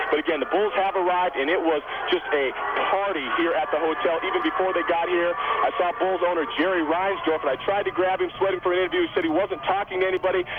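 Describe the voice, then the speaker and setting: Through noticeable background noise, a high-pitched man talks at a very fast pace with very even loudness and fairly even intonation. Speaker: TV news reporter. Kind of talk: live phone report. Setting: phone call from crowded hotel. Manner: quiet.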